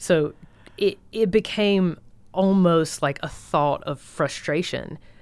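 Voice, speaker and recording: A woman speaks in a Southern US accent. Her pace is very slow. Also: ordinary pitch variation. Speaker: guest, military spouse. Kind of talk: casual chat. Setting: studio.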